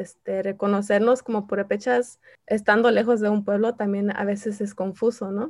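A woman with an ordinary speaking voice talks at a moderate pace. Her pitch is medium and her intonation fairly even. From Southern California (Santa Ana), P'urhépecha family from Michoacán. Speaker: artist and community activist. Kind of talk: interview.

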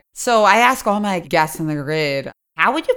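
A woman with an ordinary speaking voice, fairly low in pitch, with lively intonation at a moderate pace, on a very clean recording with a silent background. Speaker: poker podcast host. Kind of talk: casual interview.

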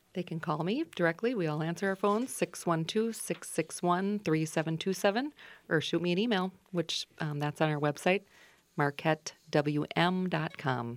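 At a moderate pace, a woman speaks with a fairly low pitch and ordinary pitch variation on a very clean recording with a silent background. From Minnesota. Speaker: financial advisor. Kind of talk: radio interview. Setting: radio studio.

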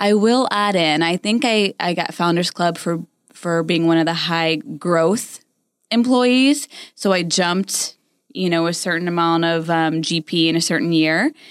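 A woman with an unremarkable speaking voice and an American accent, fairly slow in pace, very even in loudness, with ordinary pitch variation. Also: fairly low pitch for a woman, very clean recording, silent background. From Florida, St. Petersburg. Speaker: podcast co-host, recruiting business owner. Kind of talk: casual chat.

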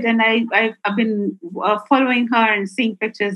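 This woman's fairly high voice comes across as somewhat breathy. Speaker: chess club founder and entrepreneur. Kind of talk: interview.

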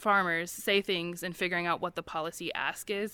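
Heard on a very clean recording with a silent background, a woman with an American accent has an unremarkable speaking voice, fairly low pitch, fairly even intonation and a moderate pace. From US Midwest, Missouri. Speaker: nonprofit farm coalition staff. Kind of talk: panel discussion. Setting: conference panel with audience.

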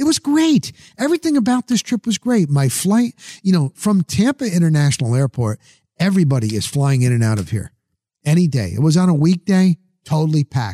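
An animated man with an American accent talks at a fairly quick pace and fairly high pitch, his pitch swinging very widely, in a dry, close sound with no echo. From New Jersey. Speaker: podcast host and sports journalist. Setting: studio.

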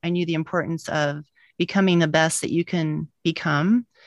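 Over a quiet background, a woman talks at a fairly quick pace in a plain, everyday voice with fairly low pitch, and the sound is dry and close with no echo. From US, born to Eastern European immigrants. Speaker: physician and medical professor. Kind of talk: interview, conversational.

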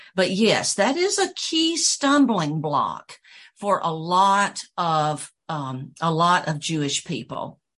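Against a quiet background, a woman with a slight Southern US accent speaks very slowly at a medium pitch, her intonation lively. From US South, Georgia. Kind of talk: casual interview chat.

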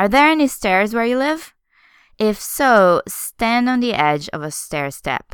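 In a very clean recording with a silent background, a woman with a Portuguese accent speaks with very wide pitch swings. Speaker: English teacher podcast host. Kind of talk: language lesson monologue. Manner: slow, clear enunciation.

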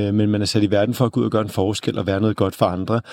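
A dark, mellow tone colors this man's medium-pitched speech. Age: 30s. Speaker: author and journalist. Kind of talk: interview. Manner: halting.

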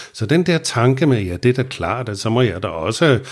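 In a very clean recording against a silent background, a man talks at a fairly slow pace. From Copenhagen, Vesterbro. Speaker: recovering alcoholic telling his story. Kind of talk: personal testimony interview. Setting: studio in Copenhagen. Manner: hesitant with many fillers and repetitions.

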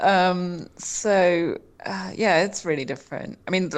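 A woman speaks with very deep, low pitch and vocal fry. The recording is very clean, with a silent background. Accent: southern English. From England, Portsmouth. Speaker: journalist, news site co-founder. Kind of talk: interview.

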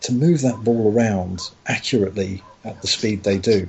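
A voice with a London accent and ordinary pitch variation, heard over noticeable background noise. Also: man. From London, Tottenham. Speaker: podcast guest. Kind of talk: casual chat.

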